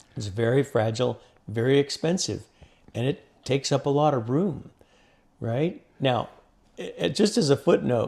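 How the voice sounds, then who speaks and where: With vocal fry and lively intonation, a man talks in bursts broken by long, frequent pauses. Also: fairly high pitch for a man, moderate pace. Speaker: oil field physicist and instrument inventor. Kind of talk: interview conversation. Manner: loud.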